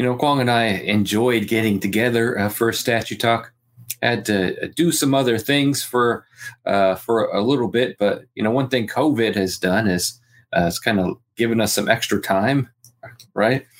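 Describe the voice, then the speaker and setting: An unremarkable speaking voice moves at a moderate pace with ordinary pitch variation and very even loudness, in a very clean recording with a silent background. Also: man, medium pitch for a man. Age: 40s. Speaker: podcast co-host. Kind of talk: casual chat.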